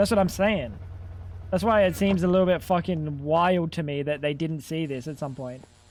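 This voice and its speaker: A man with a fairly high pitch uses a plain, everyday voice, speaking at a moderate pace with ordinary pitch variation. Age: 30s. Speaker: video game streamer. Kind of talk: casual chat.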